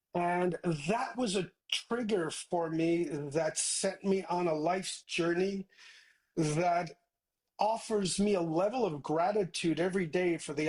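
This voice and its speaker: A high-pitched man's voice in a Newfoundland accent, with fairly even intonation. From Newfoundland, Canada (Placentia). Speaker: tech entrepreneur. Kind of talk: interview.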